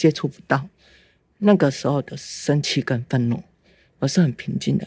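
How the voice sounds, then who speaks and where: A woman's very deep, low voice, somewhat breathy and dark and mellow in tone, with lively intonation at a moderate pace, in a dry, close sound with no echo. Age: 50s. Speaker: mother of abuse survivor. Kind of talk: testimony. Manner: halting.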